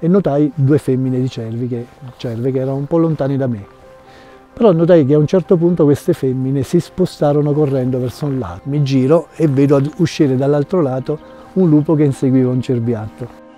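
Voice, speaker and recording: A man speaks with faint music playing in the background. The sound is dry, with no echo. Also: ordinary pitch variation. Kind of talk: interview answer, storytelling. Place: open country.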